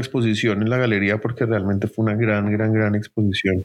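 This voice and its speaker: This man talks at a fairly quick pace with a medium pitch. The sound is dry and close, with no echo. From Colombia, Bogotá. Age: 30s. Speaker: art gallery director. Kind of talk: interview. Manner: halting, many fillers and repetitions.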